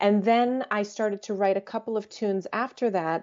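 An ordinary speaking voice in an American accent. The delivery moves at a fairly slow pace. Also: woman. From US, Croatian family. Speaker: jazz vocalist and composer. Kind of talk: interview.

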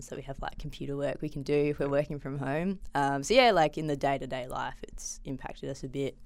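A woman's very deep, low voice in an Australian accent, fairly quick, with ordinary pitch variation. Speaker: PhD student in biochemistry. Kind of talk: casual interview. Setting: studio.

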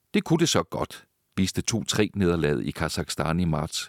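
A man's very deep, low voice at a fairly slow pace, with very wide pitch swings and a dry, close sound with no echo. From Denmark. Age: 60s. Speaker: journalist and author. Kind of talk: interview conversation. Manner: hesitant, frequent filler sounds.

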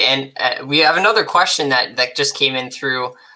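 This voice carries a Canadian accent. Its pace is fairly quick. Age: 20s. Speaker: podcast host. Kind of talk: interview.

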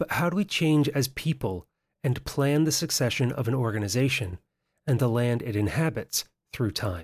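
Somewhat breathy and full of lively intonation, a man's voice comes through dry and close with no echo, on a very clean recording with a silent background. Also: medium pitch for a man, moderate pace, very even loudness. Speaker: podcast host. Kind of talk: interview.

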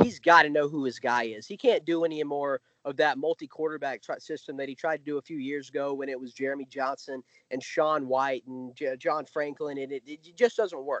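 This man has a plain, everyday voice with an American accent and a fairly high pitch. He talks at a fairly quick pace, with ordinary pitch variation and big swings in loudness. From US South. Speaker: college football writer. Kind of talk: podcast interview.

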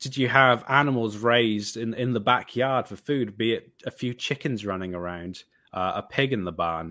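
A man with a Welsh accent at a moderate pace, with ordinary pitch variation. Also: medium pitch for a man. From Wales. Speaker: vegan photographer and filmmaker. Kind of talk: interview talk with prepared reflections.

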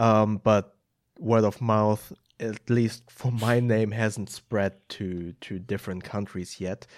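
A man's fairly low voice with a German accent, at a very slow pace and with fairly even intonation. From Germany, Hamburg. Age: 30s. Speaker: film editor and YouTuber. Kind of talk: casual interview chat. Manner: hesitant, many filler ums.

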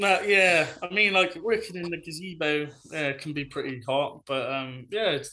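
With a Bristol accent, a man speaks at a moderate pace, his tone bright and sharp and his intonation lively. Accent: Bristolian English. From Bristol, England. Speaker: food social media influencer. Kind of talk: casual chat.

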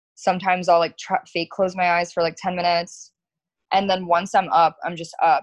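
A woman with an American accent and an unremarkable speaking voice, medium in pitch, at a fairly quick pace. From South Florida. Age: 20s. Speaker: florist and business owner. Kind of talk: casual chat.

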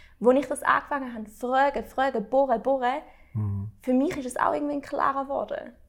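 Animated and fairly quick, a woman's voice swings widely in loudness in a very clean recording with a silent background. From Switzerland. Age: 20s. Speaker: interviewer. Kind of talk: casual chat.

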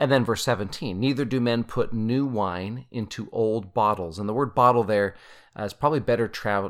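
A man with a Utah accent speaks in a fairly low pitch with ordinary pitch variation. The recording is very clean, with a silent background. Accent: Utah American English. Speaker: podcast host, scripture study. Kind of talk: casual scripture study discussion; reading scripture aloud.

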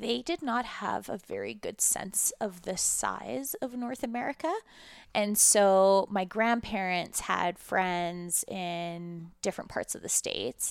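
A plain, everyday voice with a Canadian accent, lively intonation and a fairly slow pace, in a very clean recording with a silent background. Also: woman. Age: 30s. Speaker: cannabis entrepreneur. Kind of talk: interview conversation.

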